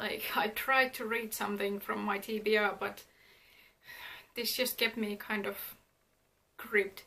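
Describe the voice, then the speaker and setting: The woman's fairly high voice is monotone and flat. She goes at a fairly slow pace with long, frequent pauses. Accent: non-native. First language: not English. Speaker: book vlogger. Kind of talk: casual monthly reading wrap-up vlog. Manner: hesitant with many ums and uhs.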